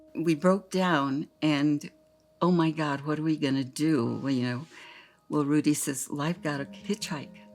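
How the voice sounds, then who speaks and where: A woman with an American accent and a very deep, low pitch, ordinary pitch variation and a fairly slow pace, with music in the background. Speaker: grandmother. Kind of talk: interview answer.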